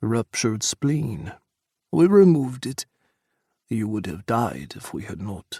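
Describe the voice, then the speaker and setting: In a put-on character voice, a man at a medium pitch speaks at a fairly slow pace with long, frequent pauses, very wide pitch swings and big swings in loudness, all in a dry, close sound with no echo. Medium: read story. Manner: formal, no contractions.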